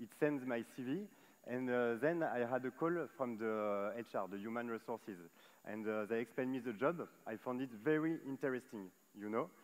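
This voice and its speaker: Speaking at a moderate pace, a man with a French accent uses a medium-pitched voice. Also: ordinary pitch variation. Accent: French accent, noticeable. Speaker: solar solutions manager at tech company. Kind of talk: panel discussion on stage. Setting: stage at live event. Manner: hesitant, many fillers.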